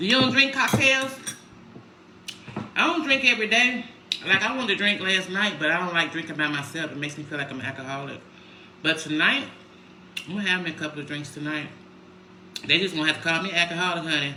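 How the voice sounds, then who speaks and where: A woman speaks loudly at a fairly low pitch, her voice swinging very widely up and down at a very fast pace. Long, frequent pauses break up her speech, with audible room echo and noticeable background noise. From Chicago, US Midwest. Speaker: lifestyle vlogger. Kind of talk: casual livestream chat. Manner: mellow.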